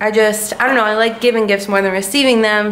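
A woman's fairly high, fairly bright voice with fairly even intonation and audible room echo

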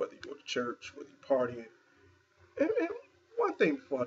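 Light background noise accompanies this man's voice. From Philadelphia. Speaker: video blogger. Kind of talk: casual New Year greeting video. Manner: informal, chatty, filler-heavy. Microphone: webcam.

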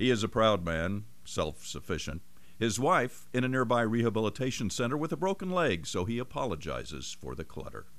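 A man's medium-pitched voice with vocal fry and very wide pitch swings. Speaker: TV reporter. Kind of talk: TV feature narration.

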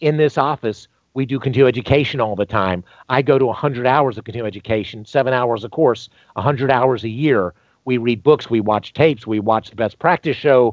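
A man with an American accent talks at a fairly quick pace, with ordinary pitch variation. The sound is dry with no echo, and the background is quiet. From US South, North Carolina (Greensboro); North Carolina. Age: 50s. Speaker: dentist; podcast guest. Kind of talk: interview. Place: home room. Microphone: headset.

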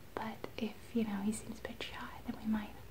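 Monotone, flat intonation over noticeable background noise. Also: woman. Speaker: ASMR vlogger. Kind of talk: casual vlog chat, soft-spoken. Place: home room. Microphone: phone near.

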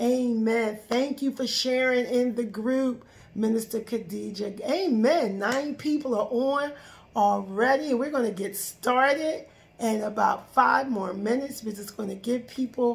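This woman has a high voice and speaks fairly slowly, with ordinary pitch variation. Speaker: minister leading Bible study. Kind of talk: live stream greeting, preaching style. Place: home room. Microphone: phone near.

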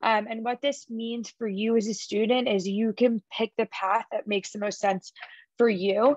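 In a dry recording with no echo and a quiet background, a woman with a plain, everyday voice speaks at a moderate pace, fairly high-pitched, with fairly even intonation. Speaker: college admissions representative. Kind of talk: presentation at a virtual college fair. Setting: video call. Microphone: webcam.

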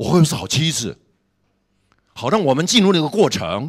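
Against a quiet background, a man speaks at a fairly quick pace and a fairly high pitch, with lively intonation and vocal fry. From Taiwan. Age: 60s. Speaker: pastor and seminary professor; pastor, seminary professor. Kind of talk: sermon. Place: hall. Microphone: handheld.

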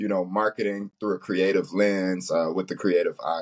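A man with an American accent speaks at a moderate pace over a quiet background. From Chicago, US Midwest. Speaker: creative agency founder; guest. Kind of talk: interview. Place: office. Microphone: video call.

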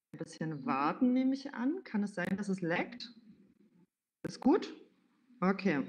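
At a fairly slow pace, a woman speaks in a somewhat breathy voice with very wide pitch swings and long, frequent pauses. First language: German. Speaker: event moderator. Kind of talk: event moderation. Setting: livestreamed event in a venue. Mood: friendly, relaxed. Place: home room. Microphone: headset.

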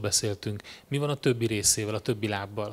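Fairly quick speech from a man, ordinary in its pitch variation. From Hungary. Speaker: conference moderator. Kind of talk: conference interview. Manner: halting, with many repetitions. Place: stage. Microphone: handheld.

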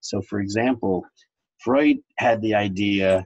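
Against a quiet background, a man speaks with a fairly low pitch and ordinary pitch variation. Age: 60s. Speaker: psychoanalyst; interviewee, psychoanalyst. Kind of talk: interview. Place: home room. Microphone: webcam.

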